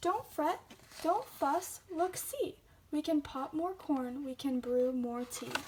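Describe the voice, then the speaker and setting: In a put-on character voice, a woman speaks squeaky and high at a fairly slow pace. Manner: soothing, reassuring.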